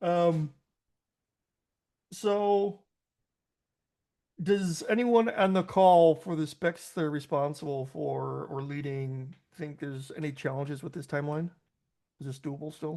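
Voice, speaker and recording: In a Chicago accent, the speaker talks at a fairly slow pace with long, frequent pauses over a quiet background. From US, Chicago. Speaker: meeting host. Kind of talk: online work meeting. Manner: halting, many fillers.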